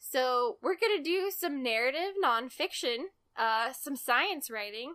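Projecting a raised voice with a bright, sharp tone, a woman speaks at a high pitch and a fairly slow pace with lively intonation, in a very clean recording with a silent background. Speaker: podcast co-host. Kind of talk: casual chat discussing a book.

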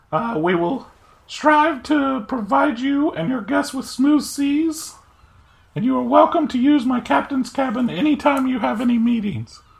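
A put-on character voice pitched fairly high. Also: moderate pace. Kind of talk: naval officer formality. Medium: actual play. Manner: formal.

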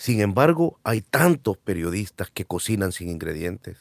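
A man with a plain, everyday voice and fairly low pitch speaks at a fairly slow pace, the sound dry and close with no echo, on a very clean recording with a silent background. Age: 30s. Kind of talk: casual conversation.

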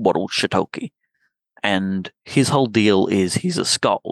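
A man with an Australian accent at a fairly slow pace, dry and close sound with no echo. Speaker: lawn mower and tabletop gamer. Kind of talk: casual chat.

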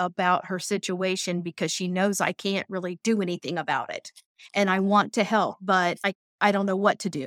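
With an American accent, a woman at medium pitch talks at a moderate pace in a plain, everyday voice, the sound dry and close with no echo on a very clean recording with a silent background. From Ohio. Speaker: massage therapist and event supporter. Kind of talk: interview.

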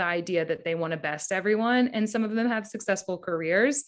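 A woman talks at a fairly quick pace in a normal speaking voice of medium pitch, with lively intonation. The recording is very clean, with a silent background. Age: 30s. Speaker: advertising creative director. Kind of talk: interview.

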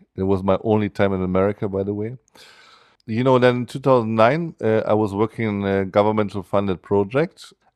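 At a fairly quick pace, a man with a German accent speaks in a fairly low voice with ordinary pitch variation, the sound dry and close with no echo against a quiet background. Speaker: musician and educator. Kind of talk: interview. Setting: studio. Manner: halting.

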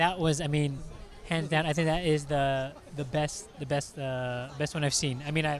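A man speaks at a moderate pace in a fairly high pitch with monotone, flat intonation. There is audible echo from the room. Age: 30s. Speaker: podcast host. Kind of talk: casual chat. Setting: convention floor.

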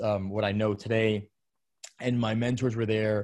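A man with a New York accent, fairly low pitch, moderate pace and fairly even intonation. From New York City, Brooklyn. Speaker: menswear brand founder. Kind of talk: casual interview.

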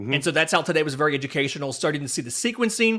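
A man's fairly high-pitched voice, bright and sharp in tone, on a very clean recording with a silent background. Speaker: podcast co-host, baseball writer. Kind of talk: casual sports podcast chat.

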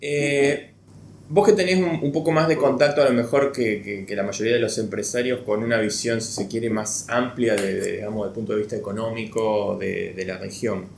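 At a moderate pace, a man talks with medium pitch and ordinary pitch variation. Room echo is audible. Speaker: podcast host. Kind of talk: interview.

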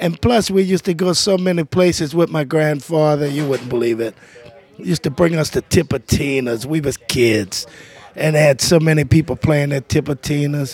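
Speaking in a New Orleans accent, a man uses a fairly high pitch and ordinary pitch variation at a moderate pace. Noticeable background noise runs underneath. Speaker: jazz trumpeter and band leader. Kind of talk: casual interview chat.

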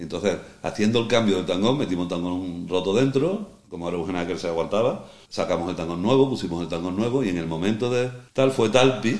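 Words come at a very fast pace with ordinary pitch variation. Room echo is audible. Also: man, fairly low pitch for a man. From Andalusia, El Puerto de Santa María (Cádiz). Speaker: veteran sailor. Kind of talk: casual interview chat. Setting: on location at a foundation in a marina.

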